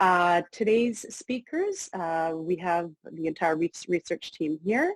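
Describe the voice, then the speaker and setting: A woman speaks with a fairly low pitch. The sound is dry and close, with no echo. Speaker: academic researcher. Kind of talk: webinar presentation. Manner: fast.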